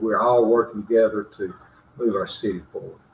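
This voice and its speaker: A man speaks at a medium pitch with an Alabama accent. His voice is somewhat breathy. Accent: Southern US (Alabama). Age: 60s. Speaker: mayor. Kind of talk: interview.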